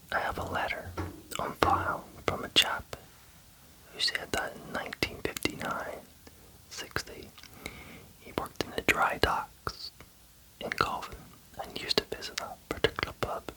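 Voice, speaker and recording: Whispering at a moderate pace, the speaker leaves long, frequent pauses over noticeable background noise. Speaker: ASMR creator. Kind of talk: ASMR book reading. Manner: whispered.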